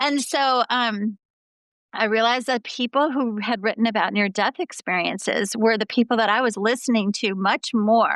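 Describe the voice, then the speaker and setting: A woman with an ordinary speaking voice talks at a moderate pace in a fairly high pitch, with ordinary pitch variation and very even loudness, in a dry, close sound with no echo and a quiet background. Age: 50s. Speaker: clinical psychologist. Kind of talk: interview.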